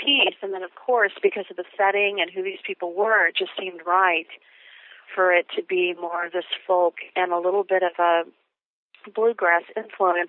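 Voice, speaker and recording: A woman's plain, everyday voice at medium pitch, moderate pace, and fairly even intonation. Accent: American. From Texas. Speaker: musical theatre composer. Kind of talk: interview.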